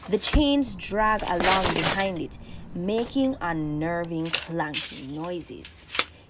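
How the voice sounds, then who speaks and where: A woman with a fairly low voice speaks at a very slow pace over noticeable background noise. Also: lively intonation. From Jamaica. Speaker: beauty vlogger. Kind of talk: spooky folklore narration.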